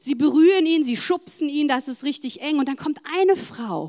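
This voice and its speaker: Recorded very cleanly against a silent background, a woman speaks at a fairly slow pace in an animated tone. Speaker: preacher. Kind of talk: sermon. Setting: church.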